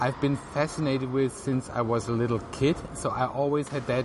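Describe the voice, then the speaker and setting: Noticeable background noise sits behind the speech. The pace is moderate, the intonation fairly even. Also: man. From southern Germany (Swabia, Tübingen). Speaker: animator. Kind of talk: interview. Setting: outdoor venue on artificial grass.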